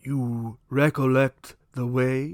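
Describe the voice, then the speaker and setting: A man's put-on character voice at medium pitch. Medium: read story. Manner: mild, solemn.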